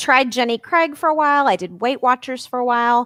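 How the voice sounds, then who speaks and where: In a very clean recording with a silent background, a woman with a slight Southern US accent talks at a fairly high pitch in a bright, sharp tone. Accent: slight Southern drawl. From Arkansas. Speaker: life and weight coach. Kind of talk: podcast interview.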